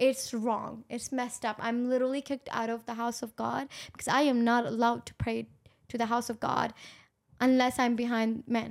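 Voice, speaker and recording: Monotone, flat intonation comes through a very clean recording with a silent background. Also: woman, high pitch for a woman. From Pakistan. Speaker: podcast co-host. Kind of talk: casual chat.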